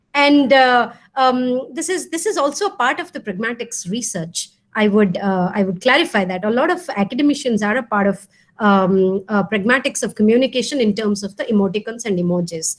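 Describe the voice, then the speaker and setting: Speaking fairly quickly with an Odisha accent, a woman uses a fairly high pitch that swings very widely. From India (Odisha). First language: Odia. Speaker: professor. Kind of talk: lecture Q&A. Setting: video call. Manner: hesitant, many fillers.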